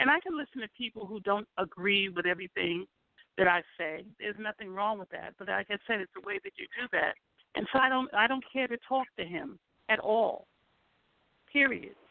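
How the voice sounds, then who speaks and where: A woman's fairly high voice in an American accent, lively intonation and big swings in loudness at a moderate pace. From New York. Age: 60s. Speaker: author and historian. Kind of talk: call-in radio discussion.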